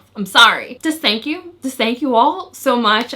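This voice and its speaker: Over noticeable background noise, a woman projects a raised, high-pitched voice with ordinary pitch variation. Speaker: nail polish YouTuber. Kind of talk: product review video intro. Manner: animated.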